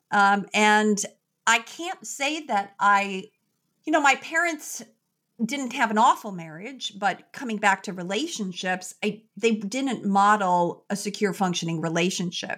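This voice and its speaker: In an ordinary speaking voice, a woman with an American accent talks at a fairly slow pace and a medium pitch. Her intonation is lively, and the recording is very clean with a silent background. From US Midwest, Chicago. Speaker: psychologist. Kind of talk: interview.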